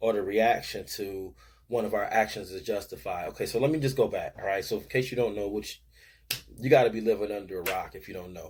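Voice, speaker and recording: A man with a somewhat breathy voice is heard on a very clean recording with a silent background. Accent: American. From Buffalo, New York (East Side). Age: 40s. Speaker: sports show host and youth coach. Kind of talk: casual commentary monologue. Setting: home man cave. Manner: animated.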